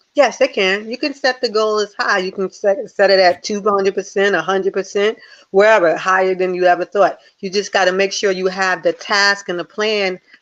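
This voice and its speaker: Against a quiet background, a woman with a New Jersey accent speaks at a moderate pace and medium pitch, her intonation fairly even. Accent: New Jersey American. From US Northeast, Newark New Jersey. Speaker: life coach and motivational speaker. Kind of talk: interview.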